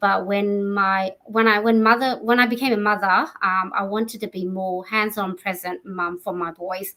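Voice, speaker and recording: Speaking with an Australian accent, a woman holds a medium pitch at a moderate pace. Her intonation is fairly even. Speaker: entrepreneur. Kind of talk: interview.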